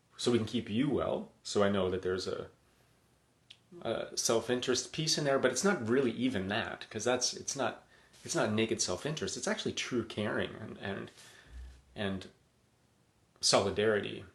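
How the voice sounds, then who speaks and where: Speaking with a Canadian accent, a man with a somewhat breathy, medium-pitched voice talks at a moderate pace with lively intonation and long, frequent pauses. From Edmonton, western Canada. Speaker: emergency physician. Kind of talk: live-stream monologue. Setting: live video stream at home. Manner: casual, halting with repetitions.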